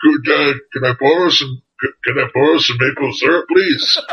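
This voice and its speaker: Speaking at a fairly slow pace, the voice is a put-on character voice. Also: man, fairly high pitch for a man. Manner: polite, goofy.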